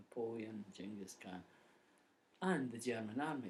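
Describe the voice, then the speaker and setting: Lively intonation from a man with a medium pitch, at a moderate pace. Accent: Scottish. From Scotland. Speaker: poet. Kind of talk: casual introduction to a poem.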